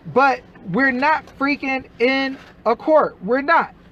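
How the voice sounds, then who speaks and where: Through noticeable background noise comes a man's voice at an extremely high pitch. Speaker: activist livestreamer on family courts. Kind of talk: live stream commentary reading documents. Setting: live stream. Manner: animated, emphatic.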